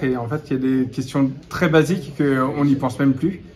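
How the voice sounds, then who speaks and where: Noticeable background noise accompanies a man with a fairly high pitch. He moves at a fairly quick pace with fairly even intonation. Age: 40s. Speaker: referee trainer. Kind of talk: interview. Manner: halting.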